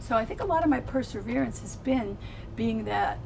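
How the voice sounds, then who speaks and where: Fairly quick speech with audible room echo and music in the background. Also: woman. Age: 70s. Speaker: psychotherapist. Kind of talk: casual chat.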